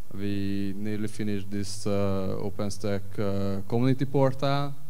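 A man with an unremarkable speaking voice talks at a fairly slow pace, his pitch fairly low and his intonation fairly even. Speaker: panelist. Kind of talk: conference presentation. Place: stage.

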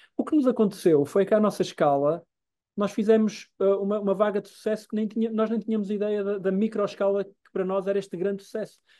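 Against a quiet background, a man with a European Portuguese accent speaks very fast in a high voice with a dark, mellow tone. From Portugal. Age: 50s. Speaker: journalist and documentary maker; journalist. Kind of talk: interview conversation. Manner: halting. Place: home room. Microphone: video call.

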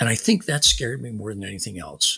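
A man talks with vocal fry at a fairly low pitch. His tone is bright and sharp. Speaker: war veteran and author. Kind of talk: interview. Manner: halting.

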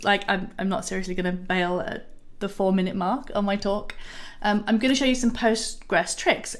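A woman speaks with a Yorkshire accent and ordinary pitch variation. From Yorkshire, northern England. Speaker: software developer advocate. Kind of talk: pre-recorded conference talk.

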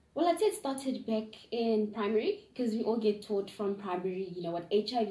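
A woman with a medium pitch speaks, and room echo is audible. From South Africa, Gauteng. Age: 20s. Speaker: young interviewee. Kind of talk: interview answers. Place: home room. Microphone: camera far.

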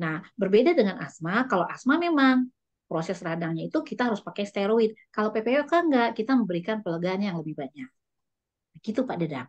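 The speech runs at a very fast pace with very wide pitch swings. The background is quiet. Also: woman, medium pitch for a woman. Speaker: lung specialist doctor. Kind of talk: health talk presentation. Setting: video call. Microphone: video call.

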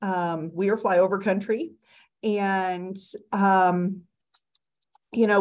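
A woman with a medium-pitched voice talks at a very slow pace. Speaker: librarian. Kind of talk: panel discussion. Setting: video call.

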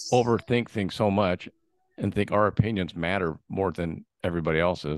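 A man talks at a fairly quick pace with an American accent. His pitch is very deep and low. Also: quiet background, dry sound with no echo. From San Diego, California; California. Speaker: podcast host and sales rep; podcast host, sales rep. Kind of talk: casual interview. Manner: animated. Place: home room. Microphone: studio mic.

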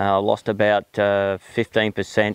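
A man speaks at a fairly low pitch, and the sound is dry with no echo. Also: quiet background. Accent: strong Australian. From South Australia, outback. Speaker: horse trainer. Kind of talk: personal monologue; personal story told to camera. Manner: hesitant, many fillers. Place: farm.

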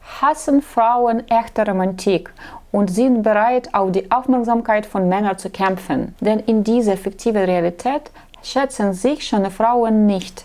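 With a non-native accent, a woman talks at a fairly slow pace in a fairly high pitch and ordinary pitch variation. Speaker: matchmaking agency blogger; dating advice host. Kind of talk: vlog monologue; talk to camera, advice monologue. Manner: halting, with filler sounds. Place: office. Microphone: lapel.

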